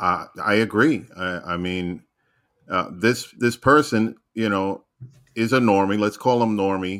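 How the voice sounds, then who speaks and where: On a very clean recording with a silent background, a man talks at a fairly slow pace in a normal speaking voice, fairly low in pitch with ordinary pitch variation. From New Jersey. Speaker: guest panelist. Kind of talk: casual chat.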